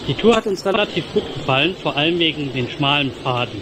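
Through noticeable background noise, a man speaks with lively intonation. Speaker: hiking vlogger. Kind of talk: casual vlog chat. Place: rain. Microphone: phone near.

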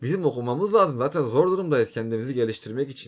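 The recording is very clean, with a silent background. A man in an unremarkable speaking voice talks at a fairly quick pace with lively intonation. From Turkey. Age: 20s. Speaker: YouTuber. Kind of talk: casual monologue. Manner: informal.

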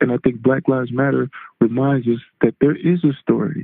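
A man at a medium pitch and fairly quick pace, with fairly even intonation. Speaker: former NFL defensive end. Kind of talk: interview answer. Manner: soft-spoken.

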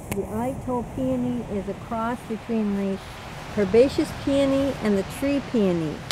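The speech moves at a fairly slow pace with ordinary pitch variation over clear background noise. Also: woman, fairly high pitch for a woman.

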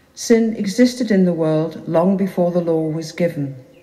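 A woman speaks at a moderate pace, somewhat breathy. Her tone is dark and mellow. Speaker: lector reading scripture. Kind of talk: reading scripture aloud. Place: church. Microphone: camera far.

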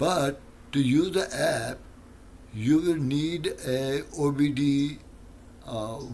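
Very slow pace and fairly even intonation over light background noise. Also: man. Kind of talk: tutorial. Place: garage. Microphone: lapel.

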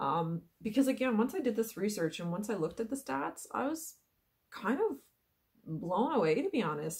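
Against a quiet background, a woman talks with very wide pitch swings. Her voice is somewhat breathy. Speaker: wellness coach. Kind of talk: casual vlog chat. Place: home room. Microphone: webcam.

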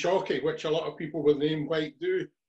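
A man speaks with a Scottish accent in a fairly high pitch. His intonation stays flat and monotone against a quiet background. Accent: Scottish (Ayrshire). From Scotland. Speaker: podcast host. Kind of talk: interview. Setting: video call. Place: home room. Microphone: webcam.

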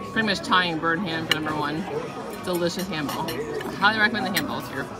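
A woman talks at a very fast pace. Crowd noise carries in the background. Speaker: food vlogger. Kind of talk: casual food review vlog chat. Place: cafe. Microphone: phone near.

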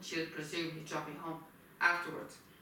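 Under strong room echo, a woman speaks low in pitch with a bright, sharp tone and little pitch movement. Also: fairly quick pace.

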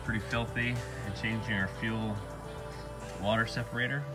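A man talks while clear music sounds in the background. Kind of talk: tutorial. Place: garage. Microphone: phone near.

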